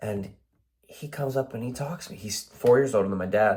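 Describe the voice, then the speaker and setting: This man speaks with an American accent. His voice is somewhat breathy. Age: 20s. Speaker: warehouse worker vlogger. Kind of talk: casual vlog monologue. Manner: halting.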